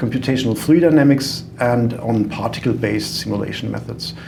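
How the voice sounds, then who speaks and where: A man speaks with a German accent. There is noticeable background noise and audible room echo. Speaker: software company founder, engineer. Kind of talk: podcast interview. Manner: hesitant, many fillers.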